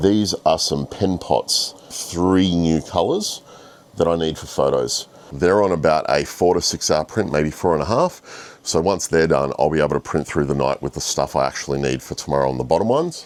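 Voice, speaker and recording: A man talks in a very deep, low pitch with vocal fry. His pace is moderate and his pitch varies in an ordinary way. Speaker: 3D printing vlogger. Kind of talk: casual vlog.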